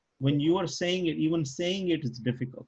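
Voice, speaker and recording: A man speaks in a somewhat breathy voice. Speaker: Arabic language teacher. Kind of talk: online class lesson. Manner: halting, stutters on Arabic words.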